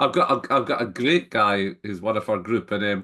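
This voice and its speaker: With a Scottish accent, a man talks at a fairly quick pace using lively intonation. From Scotland. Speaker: entrepreneur and business network founder. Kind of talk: interview conversation. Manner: halting, frequent repetitions.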